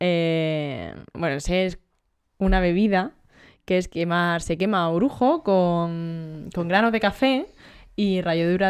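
On a very clean recording with a silent background, the talking unfolds fairly slowly and the pitch varies in an ordinary way. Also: woman. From Almería, Spain. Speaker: podcast co-host. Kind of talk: casual chat.

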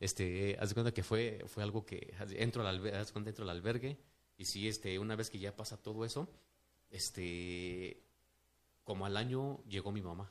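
A man talks at a moderate pace in a fairly low pitch. His intonation stays fairly even. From Mexico City. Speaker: businessman. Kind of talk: casual interview testimony. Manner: halting, many fillers.

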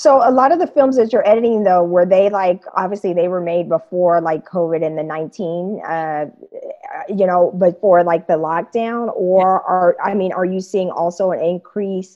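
Here a woman uses a normal speaking voice at a medium pitch. Her pace is moderate, with ordinary pitch variation. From Kansas, US Midwest. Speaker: podcast host. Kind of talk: interview. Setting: video call.

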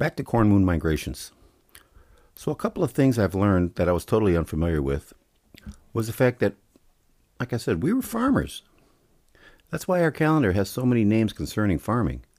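A man with an American accent and a fairly low pitch, very wide pitch swings, a fairly quick pace broken by long, frequent pauses, in a very clean, dry, close recording with no echo and a silent background. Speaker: podcast host. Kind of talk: solo commentary monologue.

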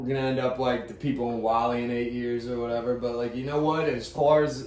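There is noticeable background noise and audible room echo. A man talks in an American accent with fairly even intonation. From Pittsburgh, Pennsylvania. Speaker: podcast co-host. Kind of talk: casual chat.

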